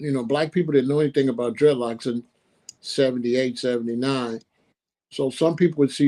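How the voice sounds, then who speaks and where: A man's dark, mellow, medium-pitched voice with an American accent, fairly even intonation and a fairly quick pace. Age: 60s. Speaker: author and musician. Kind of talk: interview.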